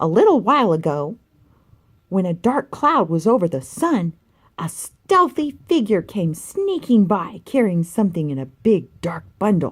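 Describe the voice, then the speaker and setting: A put-on character voice, female-sounding, at a middle pitch and a fairly slow pace. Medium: read story.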